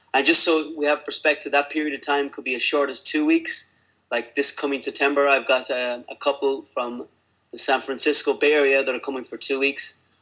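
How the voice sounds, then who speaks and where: A man with an Irish accent, talking at a fairly quick pace. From Ireland. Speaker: lean healthcare consultant. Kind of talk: webinar presentation. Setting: online webinar.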